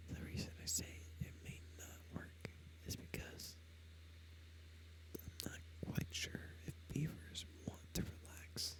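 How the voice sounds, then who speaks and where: A soft-spoken man whispers at a very slow pace, leaving long, frequent pauses. Noticeable background noise sits behind him. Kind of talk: whispered ASMR gaming commentary. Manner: whispered, soft-spoken, slow.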